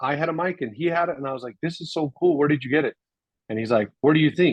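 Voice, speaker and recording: Animated and moving at a very fast pace, a man's fairly high voice shows ordinary pitch variation. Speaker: video marketing coach for real estate agents. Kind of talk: one-on-one coaching session. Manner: loud, projecting.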